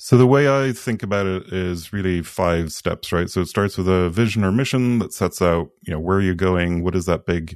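A man speaks with a Swedish accent. His very deep, low pitch moves at a fairly quick pace. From Sweden. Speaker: product consultant. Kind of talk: podcast interview.

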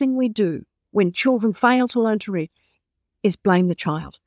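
A woman with an Australian accent speaks at a moderate pace and fairly high pitch, her intonation lively, in a very clean recording with a silent background and a dry, close sound with no echo. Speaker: author and literacy specialist. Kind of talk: interview answers, storytelling.

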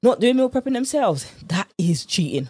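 A woman with a British accent sounds upbeat, her intonation lively, in a dry, close recording with no echo. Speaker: podcast host, nutrition coach. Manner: fast talker; upbeat, chatty, informal.

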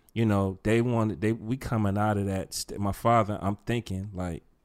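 Fairly even intonation at a moderate pace, on a very clean recording with a silent background. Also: man. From US Midwest, East Cleveland, Ohio. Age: 50s. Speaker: podcast co-host, teacher. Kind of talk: casual chat.

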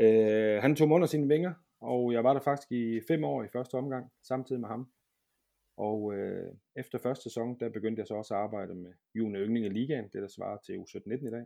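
The background stays quiet as a man talks in a dark, mellow tone. His pitch varies in an ordinary way. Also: medium pitch for a man, moderate pace. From southern Jutland, Denmark. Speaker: football goalkeeper coach. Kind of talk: casual interview.

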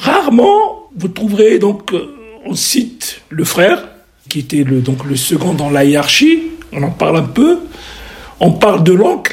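Long, frequent pauses break up a man's very slow speech, with noticeable background noise behind him. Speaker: surgeon and historical novelist. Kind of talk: radio interview.

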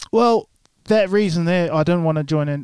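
A man's dark, mellow tone with ordinary pitch variation, in a dry, close sound with no echo. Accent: New Zealand. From New Zealand. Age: 30s. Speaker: church member, singer, former rugby player. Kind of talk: testimony interview. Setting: podcast studio.

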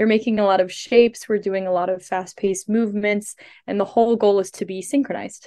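Speaking very fast, a woman with an American accent keeps a medium pitch. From US Midwest, St. Louis, Missouri. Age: 20s. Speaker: synchronized skater and student. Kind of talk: casual interview.

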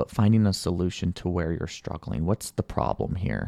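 A man speaks with a very deep, low pitch, vocal fry and a dark, mellow tone. The sound is dry and close with no echo, against a quiet background. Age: 30s. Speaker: life coach. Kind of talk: motivational monologue. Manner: animated.

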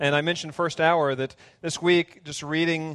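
At a moderate pace, a man with an unremarkable speaking voice talks in a fairly high pitch, the sound dry and close with no echo. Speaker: pastor. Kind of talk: sermon. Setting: church.

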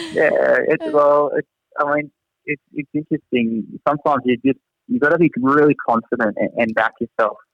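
The recording has a dry, close sound with no echo as a man speaks at a moderate pace. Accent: strong Australian. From Australia, Newcastle area. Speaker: teacher at international school. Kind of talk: casual interview. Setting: video call from Singapore.

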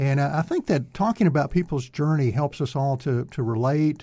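Talking at a fairly quick pace, a man with an American accent has a somewhat breathy, dark, mellow voice, fairly high in pitch, with ordinary pitch variation. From Texas (Greenville). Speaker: radio host. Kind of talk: interview; radio announcement. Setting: studio.

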